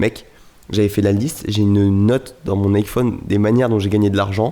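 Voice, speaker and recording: The tone is dark and mellow. The pace is moderate. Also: man. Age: 20s. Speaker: podcast host, entrepreneur. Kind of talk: casual chat.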